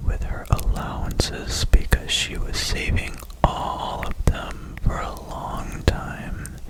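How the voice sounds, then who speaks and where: Noticeable background noise surrounds a very slow whisper. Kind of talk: ASMR book reading.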